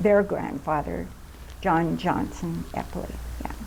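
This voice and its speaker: Audible room echo surrounds a woman speaking with an American accent. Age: 80s+. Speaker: oral history interviewee. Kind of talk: oral history interview. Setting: recreation center.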